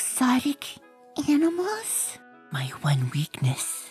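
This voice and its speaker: A female-sounding voice performs a put-on character voice at a high pitch. It moves at a very slow pace over faint music in the background. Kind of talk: comic book reading with character voices. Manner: soft-spoken, hesitant.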